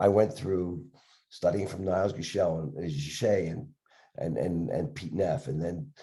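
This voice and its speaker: A man with a very deep, low pitch and a dark, mellow tone speaks at a moderate pace, somewhat breathy, with very wide pitch swings. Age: 70s. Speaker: dentist and educator. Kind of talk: interview. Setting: podcast video interview. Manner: halting, repetitive.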